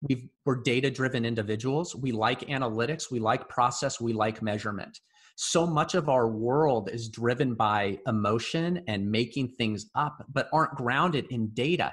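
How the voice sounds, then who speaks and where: At a moderate pace and with hardly any pauses, a plain, everyday voice shows ordinary pitch variation. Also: man, medium pitch for a man. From US Pacific Northwest (Bellevue, Washington). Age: 40s. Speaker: entrepreneur and accounting firm co-founder. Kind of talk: casual interview chat. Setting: video call.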